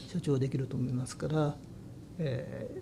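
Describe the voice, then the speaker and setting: A somewhat breathy, fairly high male voice. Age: 60s. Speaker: head of a long-established family business. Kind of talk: interview. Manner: halting.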